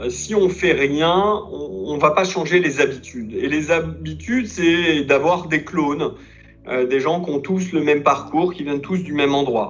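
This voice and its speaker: Music plays behind a man with a fairly high pitch and audible room echo. His pace is fairly slow, with ordinary pitch variation. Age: 50s. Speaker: company executive. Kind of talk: interview.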